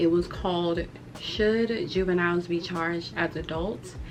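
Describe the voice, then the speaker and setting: A woman with a fairly low pitch and ordinary pitch variation speaks over music in the background. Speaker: YouTuber and criminal justice student. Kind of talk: casual vlog talk to camera. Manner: hesitant, filler-heavy.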